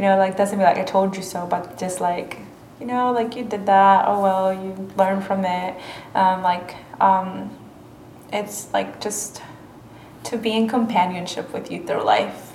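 A woman with a Spanish accent speaks at a fairly slow pace and a medium pitch, with long, frequent pauses. Her intonation is flat and monotone, with noticeable background noise behind her. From Mexico. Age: 20s. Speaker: college student interviewee. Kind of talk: interview. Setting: campus library.

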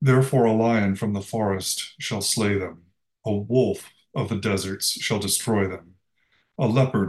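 A plain, everyday voice moves at a moderate pace. The intonation stays fairly even. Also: man. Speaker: lay reader, co-leader of the service. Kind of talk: reading scripture aloud.

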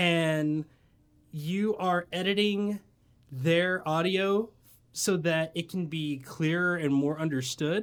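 A high-pitched man with an American accent at a very slow pace, on a very clean recording with a silent background. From US South (Tennessee/Georgia). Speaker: podcast host. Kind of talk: casual chat. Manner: animated.

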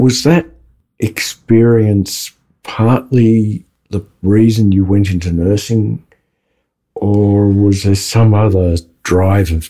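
The voice has a dark, mellow tone and an Australian accent. It moves at a very slow pace. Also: man. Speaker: podcast co-host. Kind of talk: interview.

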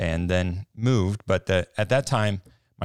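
Man with an American accent and a very deep, low pitch, in a very clean recording with a silent background. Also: dry, close sound with no echo. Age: 30s. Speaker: church maintenance worker, former missionary. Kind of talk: interview testimony. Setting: studio.

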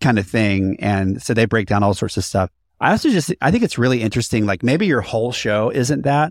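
An ordinary speaking voice with lively intonation at a fairly quick pace, very even in loudness, on a very clean recording with a silent background and a dry, close sound with no echo. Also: man. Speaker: podcast host and consultant. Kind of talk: casual chat, podcast discussion.

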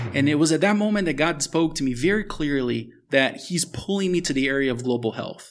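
A plain, everyday voice from a man, fairly high in pitch with ordinary variation, at a fairly quick pace with hardly any pauses. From US, Miami (moved from Brazil at eight). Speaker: author and global health expert. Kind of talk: interview testimony. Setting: at a table in a house in Brazil.

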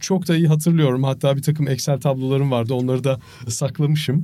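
A man's fairly high voice, dark and mellow in tone and somewhat breathy, at a fairly quick pace with fairly even intonation. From Turkey. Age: 50s. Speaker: marathon runner and charity fundraiser. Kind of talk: interview.

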